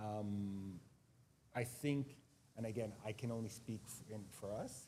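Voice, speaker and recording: A man speaks with a Montreal accent in a dark, mellow tone. His voice is somewhat breathy, with ordinary pitch variation. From Quebec, Montreal. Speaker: school administrator. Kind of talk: panel discussion. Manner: halting, many repetitions.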